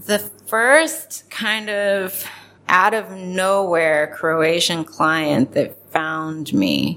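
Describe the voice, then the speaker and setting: A woman's fairly low voice with an American accent, bright and sharp in tone, at a very slow pace with ordinary pitch variation. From Ohio, US Midwest (Columbus). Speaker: intellectual property attorney. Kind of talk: casual interview.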